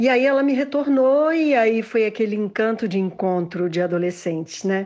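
A plain, everyday voice from a woman, fairly high in pitch, with lively intonation at a moderate pace. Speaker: interviewee, daughter. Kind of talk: interview.

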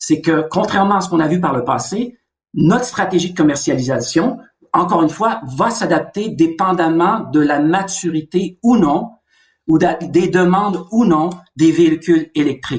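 His pitch is high for a man. He talks at a fairly slow pace. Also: ordinary pitch variation. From Canada. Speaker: car company executive. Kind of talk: interview.

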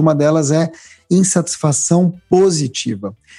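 The voice has a dark, mellow tone with a somewhat breathy quality. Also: man. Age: 40s. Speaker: writer and public speaker. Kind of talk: interview conversation.

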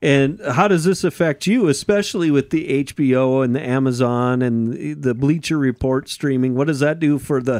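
A plain, everyday voice with ordinary pitch variation and very even loudness flows with hardly any pauses over a very clean recording and silent background. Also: man. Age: 40s. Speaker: racing podcast host. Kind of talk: casual chat.

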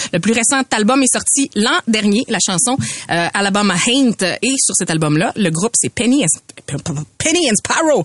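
Very wide pitch swings at a fairly slow pace and very even loudness, dry and close with no echo, over noticeable background noise. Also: woman, fairly high pitch for a woman. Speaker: podcast co-host. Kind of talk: casual chat.

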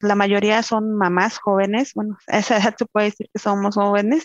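The sound is dry and close, without any echo. Words come at a fairly slow pace. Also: woman. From Mexico, Querétaro. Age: 30s. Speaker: mother, house cleaner. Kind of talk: interview.

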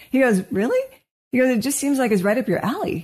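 In an American accent, a woman speaks with a dark, mellow tone, somewhat breathy, with ordinary pitch variation. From Washington State, US. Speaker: clinical psychologist, podcast co-host. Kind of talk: casual chat.

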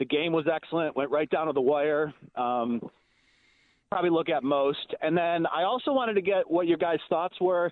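This man has an ordinary speaking voice, fairly high in pitch with ordinary pitch variation. His pace is moderate and his loudness very even. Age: 30s. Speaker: sports radio caller. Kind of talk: call-in.

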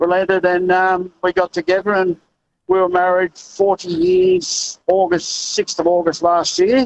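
A man speaks in a high pitch with monotone, flat intonation. His pace is fairly slow and his loudness very even. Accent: Australian. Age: 60s. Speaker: truck driver, caller. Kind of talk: talkback call.

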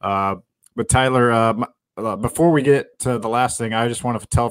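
A man talks at a fairly quick pace and medium pitch with fairly even intonation. The sound is dry and close with no echo, on a very clean recording with a silent background. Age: 40s. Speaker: sports journalist podcast host. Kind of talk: casual chat.

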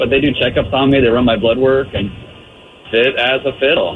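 This man's voice sits in a medium register. Background noise is clearly audible behind him. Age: 20s. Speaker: caller. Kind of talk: testimony. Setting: phone call, in a car.

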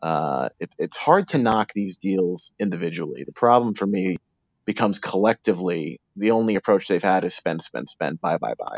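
Recorded with a dry, close sound and no echo, a man with an American accent speaks at a very deep, low pitch, using vocal fry and lively intonation. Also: moderate pace. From New York City. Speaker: sports reporter. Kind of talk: interview. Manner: halting, many repeated words.

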